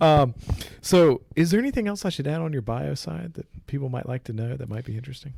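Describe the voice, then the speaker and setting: A man's somewhat breathy voice, with a dark, mellow tone, rushes at a very fast pace with lively intonation. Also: medium pitch for a man. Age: 20s. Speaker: podcast host. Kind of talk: casual chat. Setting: in person.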